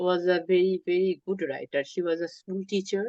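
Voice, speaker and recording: A woman with a Bengali accent, medium pitch and moderate pace. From Bangladesh (Chittagong). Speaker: artist and writer. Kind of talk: interview. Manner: hesitant, with many fillers.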